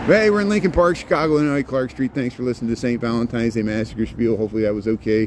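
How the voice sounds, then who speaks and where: Over noticeable background noise, a man with a medium pitch and ordinary pitch variation talks at a very fast pace with hardly any pauses. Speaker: walking tour guide. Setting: outdoors, street. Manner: fast talker.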